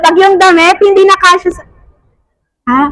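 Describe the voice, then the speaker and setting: A woman talks loudly at a moderate pace with ordinary pitch variation. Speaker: preacher. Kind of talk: sermon.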